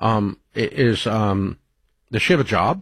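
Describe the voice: A man speaks at a fairly slow pace with a fairly low pitch. His intonation is lively, and his voice has a slightly husky edge.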